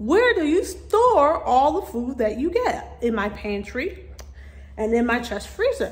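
The speech comes at a fairly slow pace over light background noise. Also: woman. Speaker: vlogger. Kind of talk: casual vlog chat. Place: garage. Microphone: phone near.

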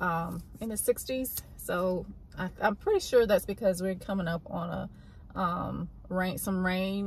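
A fairly slow pace in a dry sound with no echo, with light background noise. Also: woman. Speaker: vlogger mother. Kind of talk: casual vlog chat. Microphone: phone near.

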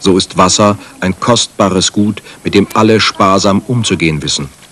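There is noticeable background noise behind this man's voice. He speaks with a fairly low pitch and ordinary pitch variation. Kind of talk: 1989 German TV documentary narration. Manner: measured, formal, authoritative documentary voice-over; even, steady pace, solemn, newsreader-like.

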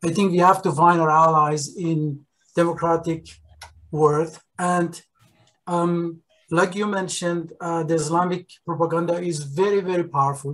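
A man with a high voice talks at a moderate pace. His intonation stays monotone and flat. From Iran. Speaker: audience member. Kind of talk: Q&A discussion. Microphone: video call.

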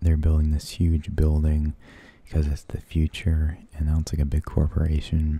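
Soft-spoken and somewhat breathy, a man speaks at a very deep, low pitch with a dark, mellow tone, and the sound is dry with no echo. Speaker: vlogger. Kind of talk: casual vlog chat, movie review. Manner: soft, close-miked spoken murmur. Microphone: studio mic.

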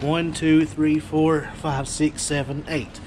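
Against light background noise, a man speaks at a fairly slow pace. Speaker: online seller. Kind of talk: casual vlog chat. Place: garage. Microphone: phone near.

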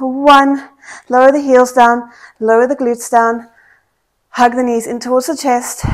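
Her pitch high and her intonation flat and monotone, a woman talks at a fairly slow pace. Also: quiet background. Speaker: fitness instructor. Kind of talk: workout instruction.

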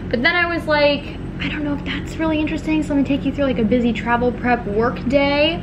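A woman talks at a very fast pace with ordinary pitch variation. Noticeable background noise sits beneath her. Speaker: lifestyle vlogger. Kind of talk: casual vlog chat. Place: home room. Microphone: phone near.

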